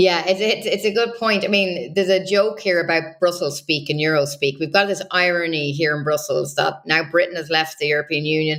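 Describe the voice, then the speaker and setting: Speaking in an Irish accent, a woman talks at a fairly quick pace with hardly any pauses. Her pitch is fairly low, with ordinary pitch variation. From Ireland. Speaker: political journalist. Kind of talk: interview analysis.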